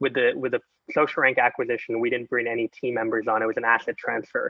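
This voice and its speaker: A man speaks with a Canadian accent. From Canada. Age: 20s. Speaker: entrepreneur. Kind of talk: casual chat.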